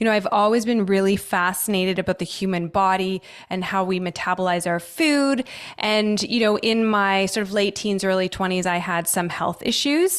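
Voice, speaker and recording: An ordinary speaking voice from a woman with a Canadian accent, medium pitch, ordinary pitch variation, very even loudness and a moderate pace, on a very clean recording with a silent background. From Canada. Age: 40s. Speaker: holistic nutritionist. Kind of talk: podcast interview.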